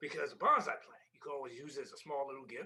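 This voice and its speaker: A man puts on a character voice. He speaks at a very fast pace. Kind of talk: improv comedy. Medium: stage play. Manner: mellow, easygoing.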